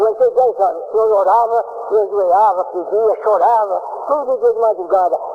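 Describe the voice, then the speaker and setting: Against noticeable background noise, a man talks at a high pitch with fairly even intonation. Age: 80s+. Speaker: church member giving testimony. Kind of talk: testimony.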